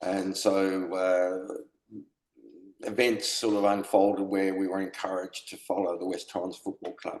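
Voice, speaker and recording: A man speaks in an Australian accent with a very deep, low pitch. His intonation is monotone and flat, at a fairly slow pace. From South Australia (Adelaide), moved from UK as a child. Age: 70s. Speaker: football supporter, retired police officer. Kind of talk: casual interview.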